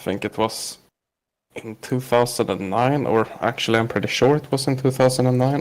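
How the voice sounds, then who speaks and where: A man speaks with a Swedish accent. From Sweden. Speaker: podcast guest, online gamer. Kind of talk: casual interview. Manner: hesitant, many fillers.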